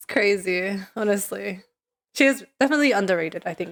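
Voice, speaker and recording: Her medium-pitched voice moves at a moderate pace as this woman speaks with lively intonation. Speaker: streamer. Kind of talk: casual chat. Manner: chatty, many fillers.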